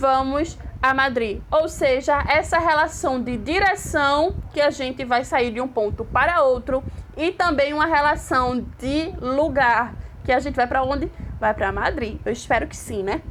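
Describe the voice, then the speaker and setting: Here a woman speaks at a high pitch with ordinary pitch variation. Her pace is fairly slow, and audible room echo surrounds her. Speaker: Spanish teacher. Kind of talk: online lecture.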